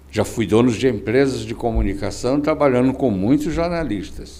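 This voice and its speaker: At a moderate pace, a man with a dark, mellow tone and vocal fry speaks with lively intonation. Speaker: podcast host. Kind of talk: interview.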